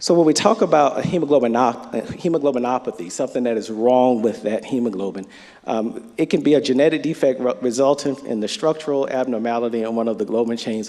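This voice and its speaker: A man with a North Florida accent talks at a very fast pace in a medium pitch with ordinary pitch variation. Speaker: physician presenter at medical conference. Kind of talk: lecture.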